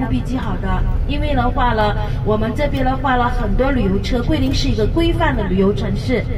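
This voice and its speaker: Noticeable background noise accompanies a woman speaking at a fairly quick pace. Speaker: tour guide. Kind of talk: tour guide commentary on a bus. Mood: humorous, lively. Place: bus.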